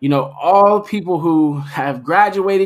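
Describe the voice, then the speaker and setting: Animated in tone, a man with an American accent speaks at a high pitch with ordinary pitch variation. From Middletown, Ohio, US Midwest. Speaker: podcast host. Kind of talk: casual interview.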